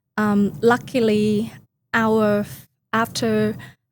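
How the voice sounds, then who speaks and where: A woman with a Vietnamese accent speaks in a fairly high pitch, her intonation rising and falling in an ordinary way. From Vietnam (Hanoi, from the countryside). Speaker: company founder. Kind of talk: podcast interview. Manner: hesitant, frequent fillers.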